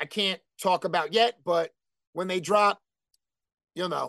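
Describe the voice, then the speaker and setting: Over a quiet background, a man with a New Jersey accent talks at a moderate pace in a high, animated voice, the sound dry and close with no echo. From New Jersey, Elizabeth. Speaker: hardcore band vocalist. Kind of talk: casual chat.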